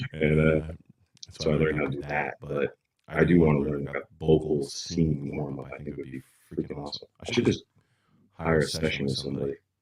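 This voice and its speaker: A man's very deep, low voice with vocal fry, flat monotone intonation, big swings in loudness, a fairly quick pace and long, frequent pauses. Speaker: podcast co-host. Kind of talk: casual chat. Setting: livestream.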